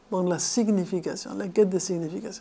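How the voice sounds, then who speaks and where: A woman's voice sits at a medium pitch, rising and falling in an ordinary way as she speaks at a moderate pace. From Argentina, Buenos Aires. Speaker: philosophy lecturer and author. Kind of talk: lecture. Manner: halting, with repetitions.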